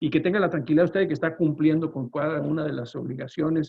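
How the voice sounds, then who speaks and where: A man with a northern Mexican accent, fairly high pitch, fairly even intonation and a fairly quick pace. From northern Mexico. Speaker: lawyer and trade consultant. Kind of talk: webinar presentation. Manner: fast; loud.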